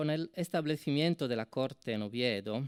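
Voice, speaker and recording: Recorded very cleanly against a silent background, the sound is dry and close with no echo. A man talks at a fairly slow pace with ordinary pitch variation. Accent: Italian. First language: Italian (speaking Spanish). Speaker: university professor, symposium speaker. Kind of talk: academic conference talk. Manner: hesitant with fillers.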